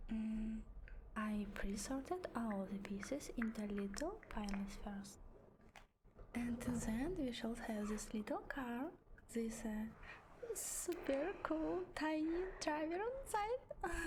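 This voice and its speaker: A woman's high voice with very wide pitch swings, a gentle tone and a very slow pace, over noticeable background noise. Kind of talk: ASMR talking, build-along. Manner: soft, gentle, cozy.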